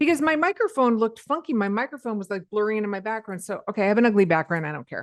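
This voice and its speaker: A woman at a very fast pace and a fairly high pitch, with very wide pitch swings and hardly any pauses, in a dry, close sound with no echo against a quiet background. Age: 50s. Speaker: podcast host. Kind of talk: casual chat.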